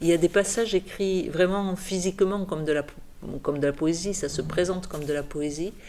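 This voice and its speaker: Fairly low in pitch, a woman talks at a moderate pace. Her pitch variation is ordinary. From French Pyrenees. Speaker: novelist and poet. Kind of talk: interview monologue. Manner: halting, with repetitions.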